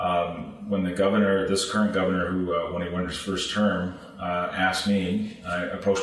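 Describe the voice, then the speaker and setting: Fairly quick speech from a man, noticeable background noise and audible room echo around him. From Iowa and Hawaii, US. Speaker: sports administrator. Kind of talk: interview. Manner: halting, many fillers.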